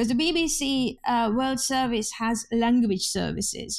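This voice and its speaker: Speaking with a Hungarian accent, a woman uses a high pitch at a fairly slow pace. The recording is very clean, with a silent background. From Hungary. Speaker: journalist. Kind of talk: interview.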